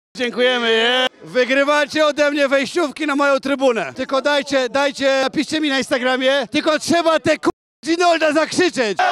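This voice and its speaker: A man's extremely high-pitched voice with ordinary pitch variation, very even loudness, a moderate pace, hardly any pauses, light background noise and a dry sound with no echo. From Poland. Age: 40s. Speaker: YouTuber street interviewer. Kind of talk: street interviews. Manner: animated. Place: street. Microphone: handheld.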